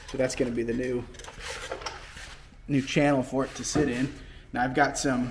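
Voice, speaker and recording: With noticeable background noise behind him, a man speaks at medium pitch and a moderate pace in a monotone, flat intonation, with long, frequent pauses. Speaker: car fabricator and restoration video maker. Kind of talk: workshop tutorial. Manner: casual, rambling with fillers; loud.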